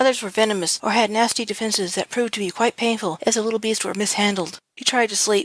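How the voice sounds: With fairly even intonation, the text comes in a natural reading voice.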